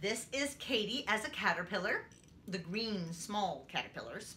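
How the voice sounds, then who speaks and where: Over light background noise, a woman talks at a fairly slow pace with very wide pitch swings. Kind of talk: tutorial demonstration. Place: home room. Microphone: camera far.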